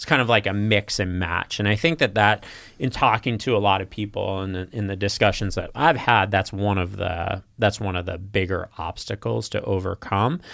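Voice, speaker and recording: A man with a fairly low pitch and ordinary pitch variation talks at a moderate pace, with hardly any pauses. It is an ordinary speaking voice. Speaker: podcast host. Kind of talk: casual interview chat.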